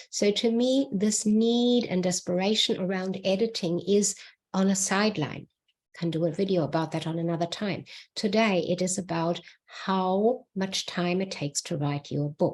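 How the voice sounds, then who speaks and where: A woman with a non-native accent talks at a moderate pace with ordinary pitch variation. The recording is very clean, with a silent background. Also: medium pitch for a woman. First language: not English. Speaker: book writing mentor. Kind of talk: solo video talk.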